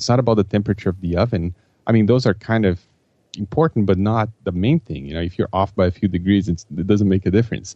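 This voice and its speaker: A man talks at a very fast pace in a fairly low pitch, with a dark, mellow tone and ordinary pitch variation. The sound is dry and close with no echo, over a quiet background. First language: not English. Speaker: project manager and author. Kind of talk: podcast interview. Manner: halting, many repeated words.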